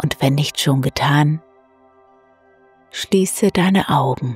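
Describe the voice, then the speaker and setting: Over music in the background, a soft-spoken woman talks very slowly in a calm tone at a very deep, low pitch, the sound dry and close with no echo. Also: ordinary pitch variation. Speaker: meditation guide. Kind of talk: guided sleep meditation. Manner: calm, soft-spoken.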